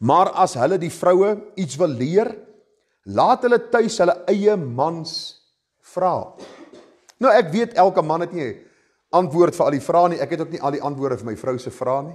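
A high-pitched man with lively intonation and big swings in loudness, against a quiet background. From South Africa. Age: 50s. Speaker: pastor. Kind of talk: sermon. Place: church.

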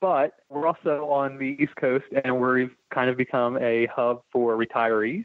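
A normal speaking voice at a fairly slow pace, with fairly even intonation. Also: man, medium pitch for a man. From Delaware, US. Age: 30s. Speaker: political candidate, construction worker. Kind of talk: interview.

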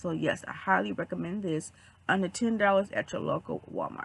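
A woman's raspy, put-on character voice at medium pitch and a moderate pace. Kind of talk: casual, friendly.

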